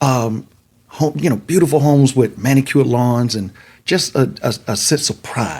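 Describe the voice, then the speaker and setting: Using lively intonation and vocal fry, a man talks at a moderate pace and a medium pitch. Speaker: city council candidate. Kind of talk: casual interview.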